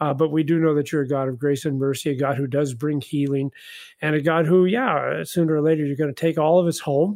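A man with a fairly high pitch talks at a very fast pace with ordinary pitch variation. The recording is very clean, with a silent background. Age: old. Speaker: retired pastor. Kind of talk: casual bible study discussion.

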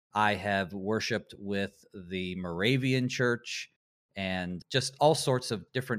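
With an American accent, a man uses an ordinary speaking voice at a fairly low pitch with ordinary pitch variation, on a very clean recording with a silent background. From US South, Western North Carolina. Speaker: Lutheran pastor. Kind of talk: radio interview on theology.

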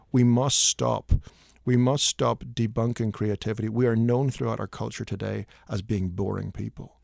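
In a very clean recording with a silent background and a dry, close sound with no echo, a man speaks with a Northern Irish accent at a medium pitch and ordinary pitch variation. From Northern Ireland. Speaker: hymn writer. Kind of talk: radio interview. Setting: studio. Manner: animated; fast, stammering repeats.

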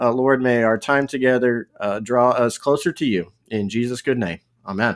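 Recorded very cleanly against a silent background, a man speaks at medium pitch and moderate pace with ordinary pitch variation. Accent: Texas. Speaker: pastor.

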